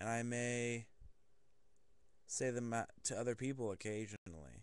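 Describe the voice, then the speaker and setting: A man speaks at medium pitch. His pace is very slow. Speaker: video blogger. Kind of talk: casual monologue. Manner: monotone; halting.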